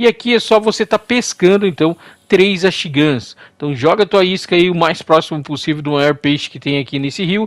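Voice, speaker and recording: Pitched high, a man talks at a fairly quick pace with lively intonation and big swings in loudness, captured in a very clean recording with a silent background and a dry, close sound without echo. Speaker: gaming YouTuber. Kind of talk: game tutorial. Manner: animated.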